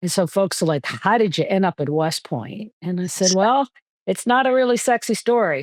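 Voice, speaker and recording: A woman speaks in an American accent with lively intonation at a moderate pace, in an unremarkable speaking voice. The sound is dry and close with no echo, over a quiet background. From New York City, Queens. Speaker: retired army general and physician. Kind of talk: podcast interview.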